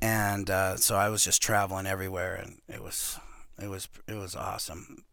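Audible room echo surrounds a man whose fairly low voice has a bright, sharp tone and a monotone, flat delivery at a moderate pace. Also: big swings in loudness. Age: 50s. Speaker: professional arm wrestler. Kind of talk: casual chat. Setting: studio.

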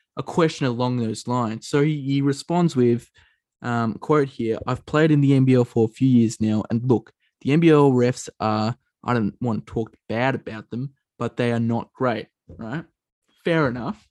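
With an Australian accent, a man speaks at a fairly slow pace and a medium pitch. His ordinary pitch variation comes through in a dry, close sound with no echo. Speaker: basketball podcast host. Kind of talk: casual chat.

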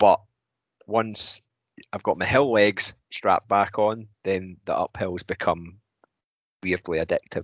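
A man with a Scottish accent speaks fairly slowly in a fairly low pitch. Long, frequent pauses break up the dry, close sound, which has no echo. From Scotland. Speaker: podcast co-host. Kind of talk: casual interview chat.

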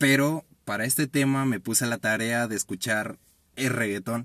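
A very slow man's voice of medium pitch and fairly even intonation, on a very clean recording with a silent background and a dry, close sound with no echo. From Mexico, Guanajuato. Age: 20s. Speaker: podcast co-host. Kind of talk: casual chat.

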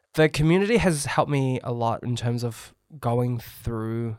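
The recording is very clean with a silent background, the sound dry and close with no echo, and the pitch varies in an ordinary way. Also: man. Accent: New Zealand. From New Zealand, Auckland. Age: 30s. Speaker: chef and former barista champion. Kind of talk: casual chat.

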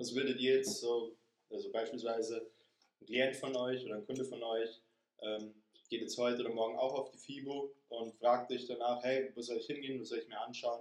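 At a moderate pace, a man speaks with monotone, flat intonation and big swings in loudness. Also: medium pitch for a man. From Lower Bavaria (Straubing). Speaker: personal trainer. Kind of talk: casual chat.

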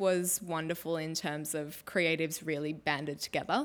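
In a very clean recording with a silent background, a woman with an Australian accent speaks at a fairly low pitch with fairly even intonation. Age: 20s. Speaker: cook and food stylist. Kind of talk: casual interview chat.

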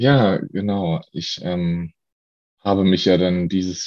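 The man's voice is very deep and low in pitch. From Lower Saxony, Germany. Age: 20s. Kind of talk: personal testimony interview. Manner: hesitant, many fillers.

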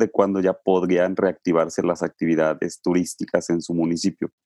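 A man speaks at a fairly slow pace in a very deep, low pitch with a dark, mellow tone. The sound is dry and close with no echo, and the background is quiet. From Mexico, Puebla state. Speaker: travel podcast host. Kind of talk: casual interview.

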